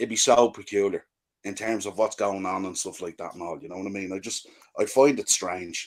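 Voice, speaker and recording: A man with an Irish accent, fairly low in pitch and fairly quick, with ordinary pitch variation, big swings in loudness, and a very clean recording with a silent background. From Ireland. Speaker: football podcaster. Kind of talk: casual chat.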